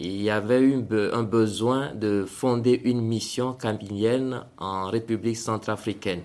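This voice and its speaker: A man's medium-pitched, plain, everyday voice, with fairly even intonation and a fairly slow pace. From Togo. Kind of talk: interview testimony.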